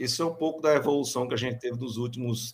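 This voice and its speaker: A man's medium-pitched, plain, everyday voice at a fairly quick pace, with ordinary pitch variation. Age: 40s. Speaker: electrical engineering professor. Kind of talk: interview.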